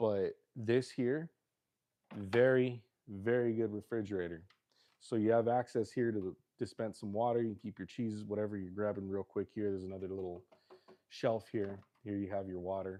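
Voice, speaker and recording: This man has an unremarkable speaking voice with an American accent and a fairly low pitch. He talks at a moderate pace with fairly even intonation. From Los Angeles, Southern California. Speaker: livestreamer. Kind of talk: casual livestream chat.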